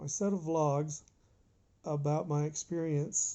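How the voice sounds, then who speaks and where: A man's somewhat breathy voice with fairly even intonation. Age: 60s. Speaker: vlogger sharing surgery recovery. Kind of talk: informal health vlog from notes.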